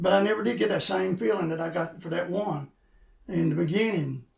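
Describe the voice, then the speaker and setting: A high-pitched man in an Appalachian accent, with ordinary pitch variation. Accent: Appalachian Kentucky. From Eastern Kentucky. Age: 60s. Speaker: former pastor and coal miner in recovery. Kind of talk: interview testimony. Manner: halting.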